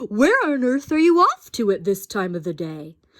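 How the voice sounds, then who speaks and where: A woman's put-on character voice, fairly high in pitch, with very wide pitch swings. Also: moderate pace. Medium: read story.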